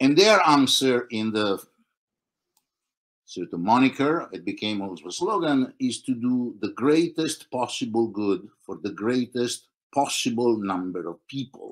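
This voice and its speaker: A man at a fairly slow pace, his intonation lively. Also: medium pitch for a man. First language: Italian. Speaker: philosopher. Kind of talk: discussion. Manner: halting.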